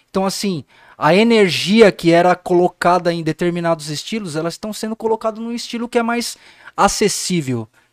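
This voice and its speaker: Loudness swings a lot as a man speaks with a high pitch. His pace is moderate, with ordinary pitch variation. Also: dry, close sound with no echo. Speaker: music producer. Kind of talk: casual chat.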